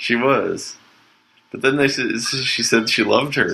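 With a Canadian accent, a man talks at a moderate pace over noticeable background noise. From Canada. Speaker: podcast host. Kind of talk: casual chat. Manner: halting.

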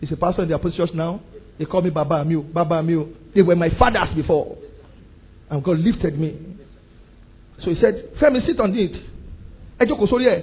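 Moderate pace with long, frequent pauses and ordinary pitch variation. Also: man, high pitch for a man. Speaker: pastor. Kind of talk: sermon. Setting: church with congregation. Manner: animated.

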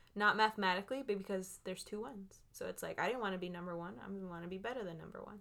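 Very fast speech in an American accent, with hardly any pauses, ordinary pitch variation and big swings in loudness. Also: woman, medium pitch for a woman. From Los Angeles, California. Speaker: podcast co-host. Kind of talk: casual chat.

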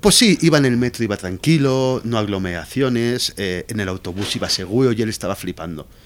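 A man speaks in a normal speaking voice at medium pitch, at a fairly quick pace with hardly any pauses and lively intonation. The recording is very clean, with a silent background. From Spain, Valencia. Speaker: Spanish expat guest. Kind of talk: casual chat.

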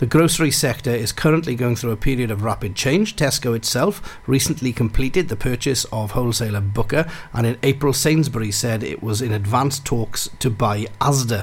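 In a Welsh accent, a man speaks at medium pitch, fairly quickly and with hardly any pauses. His pitch varies an ordinary amount, and there is noticeable background noise. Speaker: farmer and radio co-host. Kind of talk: casual radio chat and news reading. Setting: studio.

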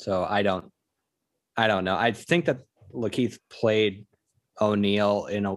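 The recording is very clean, with a silent background. A man speaks at a fairly low pitch with fairly even intonation. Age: 30s. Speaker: podcast co-host. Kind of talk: casual chat. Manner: halting.

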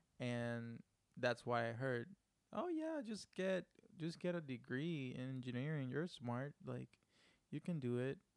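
The sound is dry and close with no echo as a man with a Spanish accent speaks at a medium pitch and a fairly slow pace with ordinary pitch variation. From Puerto Rico. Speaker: podcast producer and co-host. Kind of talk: casual chat; news reading. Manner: animated.

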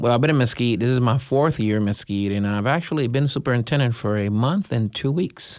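On a very clean recording with a silent background, a man with a Spanish accent talks at a fairly quick pace in very even loudness. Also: medium pitch for a man, ordinary pitch variation. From Puerto Rico. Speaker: school superintendent. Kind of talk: interview.

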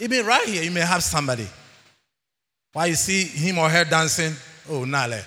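The voice is bright and sharp, with an animated tone, lively intonation and vocal fry. It moves at a fairly quick pace with long, frequent pauses and audible room echo. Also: man, fairly high pitch for a man. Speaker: church elder preaching. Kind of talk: sermon. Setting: church.

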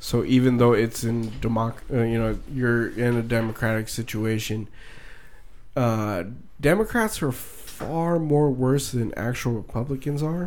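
This man has an unremarkable speaking voice of medium pitch, with ordinary pitch variation and a fairly slow pace. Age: 20s. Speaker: podcast co-host. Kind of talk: casual chat.

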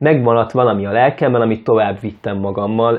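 A man with a medium pitch. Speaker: cultural nonprofit worker, mobile book stall organizer. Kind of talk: casual interview. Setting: studio. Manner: halting, many fillers and repetitions; enthusiastic.

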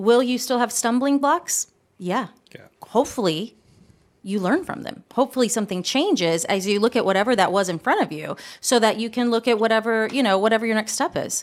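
A woman's fairly high, fairly quick voice with lively intonation, an unremarkable speaking voice. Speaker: podcast co-host. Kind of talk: casual conversational podcast.

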